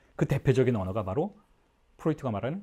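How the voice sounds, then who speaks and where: The man's tone is dark and mellow, somewhat breathy, at medium pitch. His pitch swings very widely. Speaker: psychoanalysis lecturer. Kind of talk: lecture. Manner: fast.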